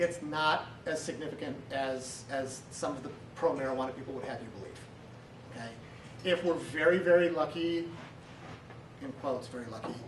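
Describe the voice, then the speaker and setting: With an American accent, a fairly high-pitched man speaks at a moderate pace with ordinary pitch variation, big swings in loudness and long, frequent pauses, amid noticeable background noise and audible room echo. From US Midwest (southern Wisconsin, small town). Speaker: city councilor, army veteran. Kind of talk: talk to a service club. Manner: casual, halting with fillers.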